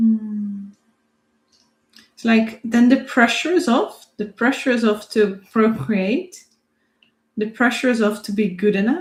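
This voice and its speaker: A woman with a non-native accent talks at a fairly high pitch and a fairly slow pace, with long, frequent pauses and ordinary pitch variation. Her voice is somewhat breathy and swings widely in loudness. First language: not English. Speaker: theta healing instructor and psychic. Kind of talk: self-guided healing demonstration. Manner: reflective, thinking aloud.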